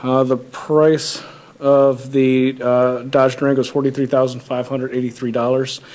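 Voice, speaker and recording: Over noticeable background noise, a man speaks in a flat, monotone way. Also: medium pitch for a man, moderate pace. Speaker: police department official. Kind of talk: public meeting presentation. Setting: township board meeting. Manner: halting, many fillers.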